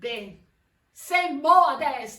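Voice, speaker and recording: At a very slow pace, a woman with a Milanese accent speaks in a raised, projected voice with a bright, sharp tone. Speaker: stage actor. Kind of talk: theatre performance in dialect.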